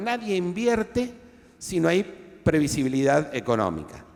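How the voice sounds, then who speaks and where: A man with an Argentine accent speaks with very wide pitch swings. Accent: Argentine Spanish (Rioplatense). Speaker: historian interviewing author. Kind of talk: book presentation discussion. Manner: halting, many fillers.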